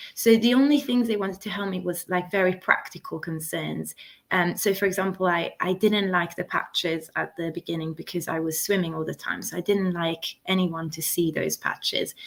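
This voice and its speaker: A woman at a medium pitch with an Italian accent, speaking at a moderate pace. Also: ordinary pitch variation. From Italy. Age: 20s. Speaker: interview guest sharing health story. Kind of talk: interview testimony. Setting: YouTube live stream.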